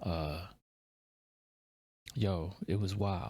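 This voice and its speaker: The recording of this man is very clean, and the background is silent. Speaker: music reaction youtuber. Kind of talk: casual reaction commentary. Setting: home at night, children asleep. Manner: keeping voice down.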